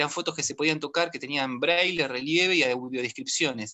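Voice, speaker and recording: His pitch sits fairly high for a man, with ordinary pitch variation. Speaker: history teacher and children's book author. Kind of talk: virtual panel talk. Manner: fast; hesitant, many fillers.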